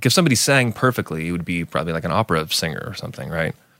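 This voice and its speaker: On a very clean recording with a silent background, a man talks very fast in a very deep, low voice with a bright, sharp tone. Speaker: guest, singer and musician. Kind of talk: casual chat.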